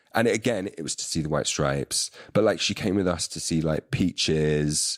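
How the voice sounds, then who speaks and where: The speech is moderately paced with ordinary pitch variation, the sound dry and close with no echo. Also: man, very deep, low pitch for a man. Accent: London. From London, England. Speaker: musician and filmmaker. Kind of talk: casual chat. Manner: halting, many fillers.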